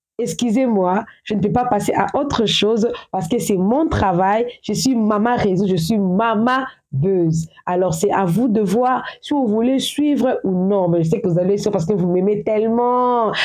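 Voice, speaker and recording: Speaking at a fairly slow pace, a woman with a medium pitch uses ordinary pitch variation and keeps her loudness very even. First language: English or African language; speaks English at home (speaking French). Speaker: social media gossip commentator. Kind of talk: casual vlog commentary. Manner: halting, repetitive.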